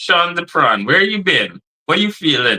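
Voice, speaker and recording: In a Trinidadian accent, a man talks fairly slowly in a high voice with a bright, sharp tone. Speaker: streamer.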